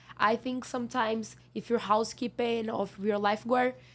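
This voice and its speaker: A woman whose pitch is fairly high speaks at a moderate pace. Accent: non-native. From Brazil. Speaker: seasonal worker. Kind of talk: interview. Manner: halting; loud.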